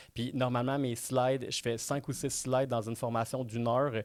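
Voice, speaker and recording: A man speaks with a Quebec accent. His intonation stays fairly even. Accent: Québécois French. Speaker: real estate trainer. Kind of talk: webinar presentation. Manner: fast.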